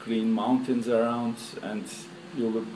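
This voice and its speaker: A man speaks at a medium pitch with monotone, flat intonation, and audible room echo surrounds him. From Turkey. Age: 60s. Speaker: tour participant. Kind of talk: interview. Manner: halting.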